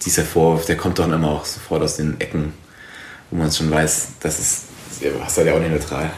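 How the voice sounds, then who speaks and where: Amid noticeable background noise and audible room echo, a man with a very deep, low voice talks at a fairly quick pace in a monotone, flat intonation, with long, frequent pauses. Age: 20s. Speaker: journalist. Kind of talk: interview. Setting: in-person recording.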